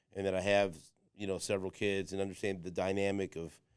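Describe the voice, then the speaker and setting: With an American accent, a man with a fairly low voice talks at a very fast pace in a monotone, flat intonation. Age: 50s. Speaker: podcast host. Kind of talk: casual chat. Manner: halting, repetitive.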